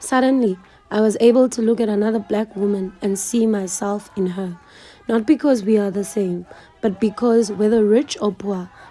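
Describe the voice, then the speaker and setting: A woman talks with fairly even intonation. Noticeable background noise sits behind her voice. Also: fairly high pitch for a woman, moderate pace. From South Africa, Eastern Cape (Mthatha). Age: 20s. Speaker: YouTuber. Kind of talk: scripted narration.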